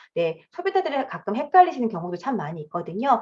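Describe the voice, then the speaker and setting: Her fairly high voice moves in very wide pitch swings as this woman speaks. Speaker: direct sales business presenter. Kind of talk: sales presentation lecture. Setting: video call. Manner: fast.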